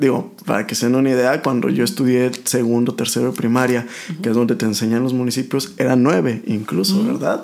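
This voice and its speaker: A man's medium-pitched, fairly quick speech with lively intonation and hardly any pauses, over noticeable background noise. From Mexico, rural Aguascalientes. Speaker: oncologist. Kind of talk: casual interview chat.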